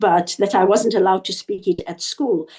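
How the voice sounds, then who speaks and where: A woman's dark, mellow tone with a Zimbabwean accent. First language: Shona. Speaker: author. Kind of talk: interview.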